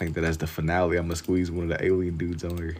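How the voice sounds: Low in pitch with a slightly mellow tone, a man speaks fast in monotone, flat intonation.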